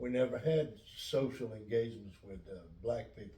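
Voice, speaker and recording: In an American accent, a man speaks at a moderate pace with ordinary pitch variation, audible room echo around him. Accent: Lumbee English, southern US. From US South, North Carolina (Robeson County). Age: 70s. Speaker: pastor. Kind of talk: interview. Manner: halting.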